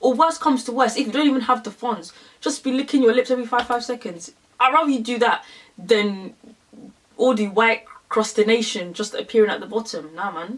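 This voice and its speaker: A woman's animated, fairly high voice at a fairly quick pace, with ordinary pitch variation. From London, England. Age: 20s. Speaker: beauty YouTuber. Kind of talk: makeup tutorial.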